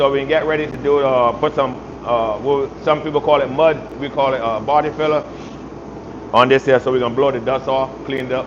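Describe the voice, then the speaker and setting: A man with a Barbadian accent at a fairly quick pace, with noticeable background noise. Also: medium pitch for a man. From Barbados. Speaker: auto body repair youtuber. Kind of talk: live stream tutorial and casual chat. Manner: animated.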